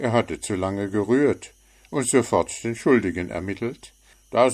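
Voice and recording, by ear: The pitch rises and falls in an ordinary way as the text is read aloud in a natural voice.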